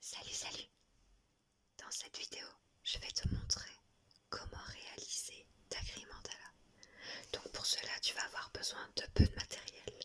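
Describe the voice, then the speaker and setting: A woman is whispering at a fairly slow pace. Her tone is calm. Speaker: drawing tutorial creator. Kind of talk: ASMR drawing tutorial. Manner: whispered; slow, calm.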